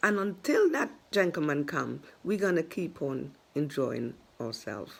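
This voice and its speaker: Vocal fry colors a woman's speech as she talks at a fairly slow pace with very wide pitch swings. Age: 60s. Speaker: vlogger. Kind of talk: casual monologue to camera. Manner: animated.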